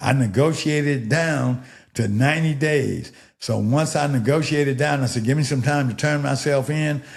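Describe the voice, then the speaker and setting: A somewhat breathy man with a fairly high pitch talks with fairly even intonation and very even loudness, with audible room echo around him. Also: moderate pace. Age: 70s. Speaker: podcast guest. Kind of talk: casual interview chat.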